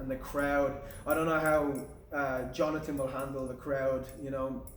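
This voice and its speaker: Against noticeable background noise and audible room echo, a man with an Irish accent talks at a moderate pace. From Ireland. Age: young. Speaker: amateur MMA fighter. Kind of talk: pre-fight interview.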